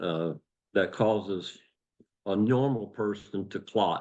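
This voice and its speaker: A man speaks fairly slowly against a quiet background. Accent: Appalachian. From West Virginia, USA. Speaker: retired police officer and former coal miner. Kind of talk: interview answer.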